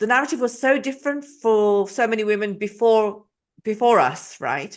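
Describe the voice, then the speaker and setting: Against a quiet background, a woman with an English accent speaks at a fairly high pitch. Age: 50s. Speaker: podcast host. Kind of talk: interview.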